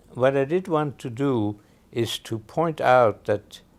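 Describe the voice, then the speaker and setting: A man at a very slow pace with lively intonation. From Austria. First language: German. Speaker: film critic and author. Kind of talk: interview. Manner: halting, many fillers.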